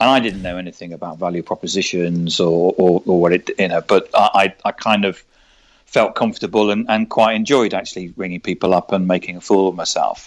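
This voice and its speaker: A man with a London accent and very deep, low pitch, fairly quick pace, fairly even intonation, and a dry, close sound with no echo. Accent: southern English (London). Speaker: sales trainer and author. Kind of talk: interview. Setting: podcast recording. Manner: halting, many repetitions.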